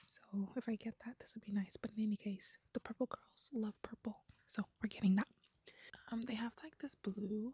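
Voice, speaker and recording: A woman speaks with fairly high pitch, a somewhat breathy, dark, mellow tone and fairly even intonation. Her pace is moderate, and the sound is dry and close with no echo. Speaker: crochet vlogger. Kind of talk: casual vlog. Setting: yarn shop.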